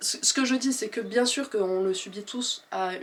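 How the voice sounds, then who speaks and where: A woman speaks with a slight southwestern French accent. Her intonation is lively. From southwest France, rural Gers. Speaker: author and video creator. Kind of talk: casual monologue to camera. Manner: hesitant, with many fillers.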